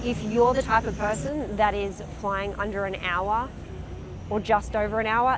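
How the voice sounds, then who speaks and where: With an Australian accent, a woman speaks at a fairly slow pace and medium pitch, her intonation fairly even, against noticeable background noise. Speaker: company representative. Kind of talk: trade show interview.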